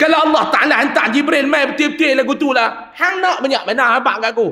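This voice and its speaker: A man with an extremely high pitch speaks in an animated tone, his voice raised and projected, at a fairly quick pace. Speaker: Islamic preacher. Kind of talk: religious lecture. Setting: mosque with congregation.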